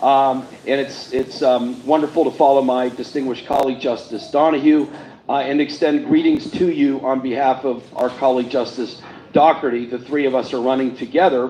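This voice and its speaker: The speaker has an American accent and a monotone, flat intonation. The pace is fairly quick, with noticeable background noise. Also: man, medium pitch for a man. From Pittsburgh, western Pennsylvania. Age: 60s. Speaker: state supreme court justice. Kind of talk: campaign speech.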